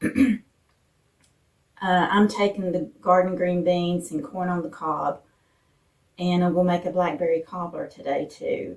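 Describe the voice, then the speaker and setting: A woman with a fairly low pitch talks at a fairly slow pace, keeping her intonation fairly even. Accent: Appalachian. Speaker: lifestyle vlogger. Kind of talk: cooking tutorial. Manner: casual, with fillers.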